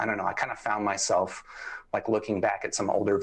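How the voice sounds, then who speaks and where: This man's speech rushes along very rapidly. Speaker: headphone reviewer. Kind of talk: casual interview. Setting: live stream.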